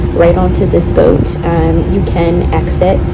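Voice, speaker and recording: Music plays behind a woman as she talks. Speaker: travel vlogger. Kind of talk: casual vlog chat. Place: boat. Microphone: phone near.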